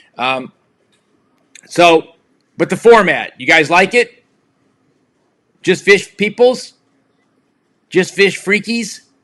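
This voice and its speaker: Shouting at a very slow pace, a man's voice comes through with a bright, sharp tone. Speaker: live stream host. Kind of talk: casual chat. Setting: live video stream with remote guest. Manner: loud, projecting voice; yelling.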